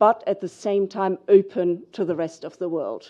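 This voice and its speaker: A woman with a German accent, medium pitch, fairly even intonation and a dark, mellow tone. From Germany. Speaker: financial regulator. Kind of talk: panel discussion. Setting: conference stage with audience.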